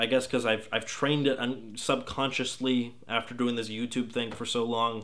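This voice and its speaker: Speaking at a moderate pace, a man keeps his medium-pitched voice monotone and flat. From Texas. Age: 20s. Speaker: gaming video critic. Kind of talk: casual Q&A vlog.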